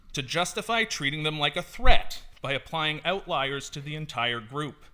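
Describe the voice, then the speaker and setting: A man speaks with a Canadian accent in a bright, sharp tone. His intonation is lively. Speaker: public speaker at council meeting. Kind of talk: prepared public statement. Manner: fast.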